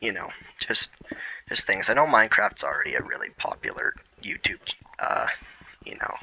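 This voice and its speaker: Whispering at a moderate pace, a man leaves long, frequent pauses, his loudness swinging widely, in a dry, close sound with no echo over noticeable background noise. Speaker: gaming YouTuber. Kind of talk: gameplay commentary. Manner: halting.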